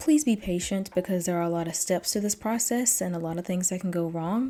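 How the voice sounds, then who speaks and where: Speaking fairly quickly, a woman uses an ordinary speaking voice at medium pitch, with ordinary pitch variation. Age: 20s. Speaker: YouTube commentator and writer. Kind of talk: channel announcement monologue.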